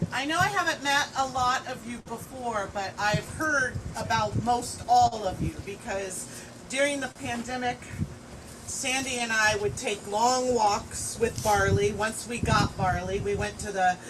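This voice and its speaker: A woman talks at a fairly slow pace in a fairly high pitch with ordinary pitch variation. Noticeable background noise sits behind her. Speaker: friend giving a eulogy. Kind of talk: eulogy speech. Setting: memorial gathering at a home. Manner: loud.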